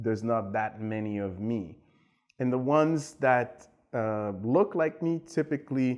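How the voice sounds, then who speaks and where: Over a quiet background, a man speaks with a Haitian accent. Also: medium pitch for a man, lively intonation, fairly slow pace. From Haiti, raised in Montreal. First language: Haitian Creole. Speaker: tech executive and entrepreneur. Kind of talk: interview. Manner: hesitant, many fillers.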